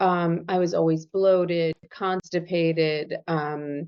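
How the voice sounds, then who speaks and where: A woman's voice sits fairly low, her delivery monotone and flat throughout. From Argentina, Buenos Aires. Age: 50s. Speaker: yerba mate blend business owner. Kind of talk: podcast interview.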